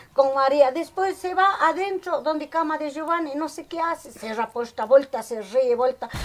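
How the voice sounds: Moderate pace with ordinary pitch variation. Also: woman, high pitch for a woman.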